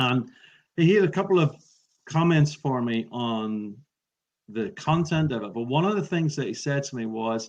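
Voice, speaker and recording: At a moderate pace, a man with an Irish accent speaks at a fairly high pitch with lively intonation and long, frequent pauses. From Ireland. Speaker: public speaking trainer. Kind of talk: interview. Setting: podcast recording.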